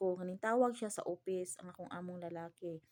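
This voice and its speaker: The voice is soft-spoken, with ordinary pitch variation. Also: woman. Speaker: vlogger, domestic helper abroad. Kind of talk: casual vlog talk. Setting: indoors in a room.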